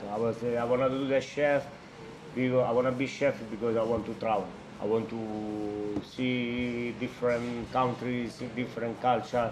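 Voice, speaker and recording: A man with an Italian accent talks at a fairly slow pace in a medium pitch and monotone, flat intonation. Noticeable background noise and audible room echo fill the recording. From Italy, Albano Laziale near Rome. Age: 30s. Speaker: chef. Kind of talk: interview conversation. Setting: trattoria. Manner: halting.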